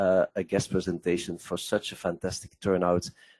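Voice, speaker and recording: With a non-native accent, a man speaks at a moderate pace in a very deep, low pitch, recorded with a dry, close sound and no echo. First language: Dutch. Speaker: investment software presenter. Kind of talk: webinar presentation. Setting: online webcast.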